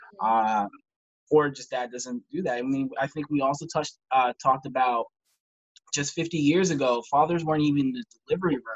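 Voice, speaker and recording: A man's medium-pitched voice in a Midwestern American accent, at a moderate pace with ordinary pitch variation, in a dry, close sound with no echo. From Ohio, Ashtabula. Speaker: high school counselor and parenting blogger. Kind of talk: casual interview chat. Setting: remote, away from home at in-laws.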